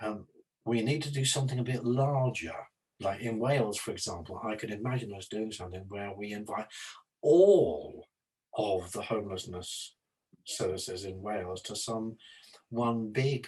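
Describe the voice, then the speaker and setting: A man at a moderate pace with long, frequent pauses, fairly low and somewhat breathy, with ordinary pitch variation. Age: 70s. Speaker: psychology and homelessness services consultant. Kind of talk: casual discussion. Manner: halting.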